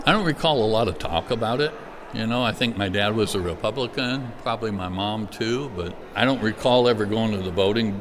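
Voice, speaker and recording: Noticeable background noise sits behind a man who speaks at a medium pitch with ordinary pitch variation and a fairly quick pace. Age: 60s. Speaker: pastor; Air Force veteran. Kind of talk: interview answer.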